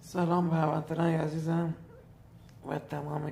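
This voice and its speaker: At a moderate pace, a man speaks in a somewhat breathy voice with a fairly high pitch. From Iran, Hormozgan province. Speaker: teacher. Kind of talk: appeal for help.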